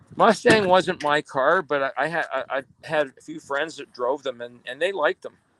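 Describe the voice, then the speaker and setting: A man's bright, sharp, fairly high voice with a Canadian accent, ordinary pitch variation, big swings in loudness and hardly any pauses, in a dry, close sound with no echo. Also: moderate pace. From Ontario, Canada. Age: 60s. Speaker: motorcycle traveler and vlogger. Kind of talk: casual chat.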